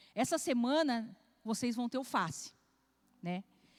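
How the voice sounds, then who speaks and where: The recording is very clean, with a silent background. A woman speaks in a high pitch. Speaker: pastor. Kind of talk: sermon.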